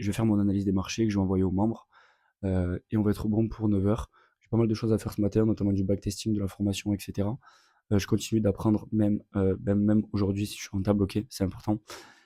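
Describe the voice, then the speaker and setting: In a dark, mellow tone and a fairly low pitch, a man speaks at a very fast pace with monotone, flat intonation and big swings in loudness. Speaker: trader and content creator. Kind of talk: vlog. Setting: at home in apartment. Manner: casual, with many fillers.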